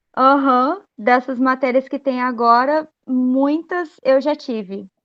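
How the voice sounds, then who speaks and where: A woman's high voice at a very slow pace, with fairly even intonation. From Brazil, Volta Redonda, Rio de Janeiro state. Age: 20s. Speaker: university student. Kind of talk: class introduction. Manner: halting.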